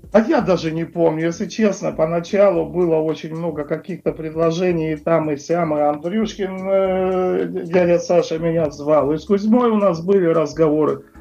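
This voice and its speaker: A man's high-pitched voice, dark and mellow in tone, at a moderate pace with fairly even intonation and hardly any pauses. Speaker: rock guitarist. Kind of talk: interview. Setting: Skype call. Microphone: Skype line, connection drops.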